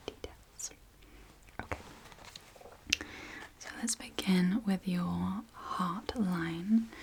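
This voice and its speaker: Whispering in a British accent, a woman speaks over noticeable background noise. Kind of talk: ASMR roleplay. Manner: soft-spoken.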